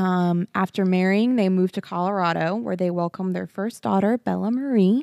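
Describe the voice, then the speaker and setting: Speaking with a Texan accent, a woman has a dark, mellow tone at a medium pitch with ordinary pitch variation. The sound is dry and close with no echo. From Texas. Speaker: podcast co-host. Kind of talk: casual comedy and true crime podcast chat. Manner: giddy, slap happy.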